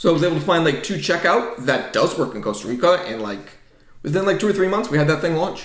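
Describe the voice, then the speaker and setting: A slight New England accent at a very fast pace, with very wide pitch swings, over noticeable background noise. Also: man, high pitch for a man. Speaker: software developer and business founder. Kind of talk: podcast interview. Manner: casual, many fillers.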